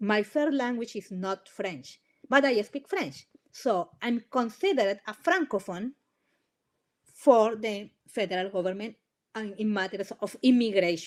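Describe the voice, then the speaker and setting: Fairly slow, fairly high female voice with a Spanish accent and lively intonation. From Colombia. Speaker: immigration lawyer. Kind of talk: webinar presentation. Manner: halting, many restarts.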